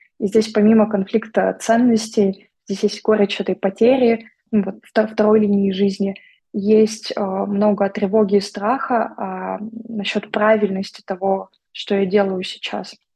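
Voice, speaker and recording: The woman's voice is somewhat breathy and medium in pitch. She talks at a fairly slow pace in a flat monotone. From Vladivostok, Russian Far East. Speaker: psychologist and therapist. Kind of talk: casual interview chat.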